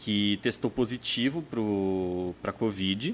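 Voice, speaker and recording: This man's pitch is fairly low, with ordinary variation. He talks at a fairly slow pace. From interior of São Paulo state. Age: 30s. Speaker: gossip journalist. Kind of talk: casual interview chat. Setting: studio.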